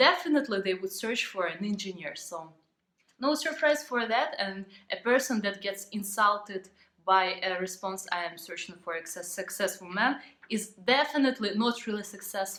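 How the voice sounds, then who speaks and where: A woman talks at a moderate pace with a Ukrainian accent and a medium pitch. Her intonation is lively. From Ukraine. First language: Ukrainian or Russian. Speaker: vlogger. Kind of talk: vlog monologue. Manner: halting.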